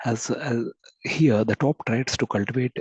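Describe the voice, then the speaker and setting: A man speaks at a fairly quick pace with fairly even intonation. The sound is dry and close, with no echo. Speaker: guest speaker at an academic webinar. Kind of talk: lecture. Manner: halting. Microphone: too quiet.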